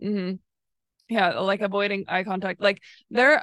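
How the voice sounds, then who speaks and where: A dry, close sound with no echo, a moderate pace and a quiet background. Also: woman. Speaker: podcast host. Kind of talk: casual chat. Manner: monotone, not very expressive.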